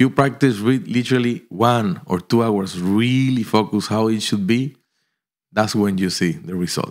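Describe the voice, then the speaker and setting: This man has a Spanish accent, a medium pitch and ordinary pitch variation. He keeps a moderate pace on a very clean recording with a silent background. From Colombia. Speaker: pianist. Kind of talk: interview.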